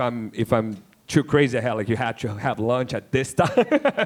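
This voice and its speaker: A man speaks with a Brazilian accent. His pace is moderate and his intonation fairly even. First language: Portuguese. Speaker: independent filmmaker. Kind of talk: panel discussion. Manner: halting, many repetitions and fillers.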